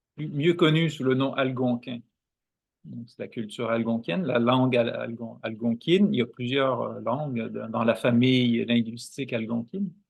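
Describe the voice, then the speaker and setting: A man with a Quebec accent, his loudness swinging widely. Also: medium pitch for a man, ordinary pitch variation, moderate pace. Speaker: guest, dance practitioner and Algonquin culture speaker. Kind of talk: interview conversation.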